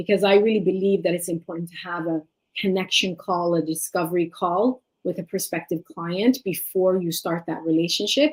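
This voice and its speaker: A woman speaks with an Eritrean accent at a medium pitch, with ordinary pitch variation and a moderate pace. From Sweden, Eritrean family. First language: Tigrinya. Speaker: life and leadership coach. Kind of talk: interview.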